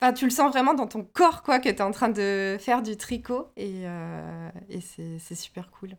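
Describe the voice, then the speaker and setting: A woman with an ordinary speaking voice, fairly high in pitch, at a fairly slow pace with lively intonation. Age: 30s. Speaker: knitwear designer. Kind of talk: interview.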